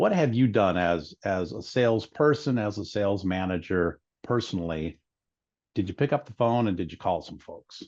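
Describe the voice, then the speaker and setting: An unremarkable speaking voice moves at a moderate pace with lively intonation and big swings in loudness over a quiet background. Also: man, fairly low pitch for a man. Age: 60s. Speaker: wealth strategist. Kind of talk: webinar conversation.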